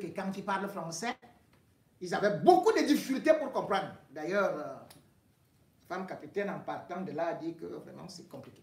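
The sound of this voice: Moderate pace and ordinary pitch variation, with vocal fry and strong room echo. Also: man.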